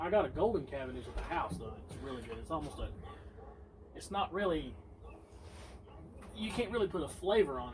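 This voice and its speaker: Fairly quick speech with a Southern US accent. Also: man. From Tennessee. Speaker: friend of host. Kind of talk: casual chat. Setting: outdoors.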